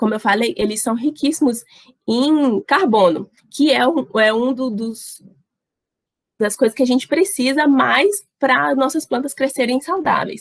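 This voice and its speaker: A woman speaks at a fairly slow pace in a high voice, her intonation lively and her loudness swinging widely. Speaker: university student workshop presenter. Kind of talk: online workshop lecture.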